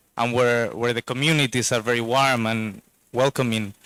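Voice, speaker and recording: In a Spanish accent, a man talks at a moderate pace, the sound dry and close with no echo and the recording very clean against a silent background. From Spain. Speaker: investor, board director. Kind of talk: speech at a launch event. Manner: hesitant, repeats words.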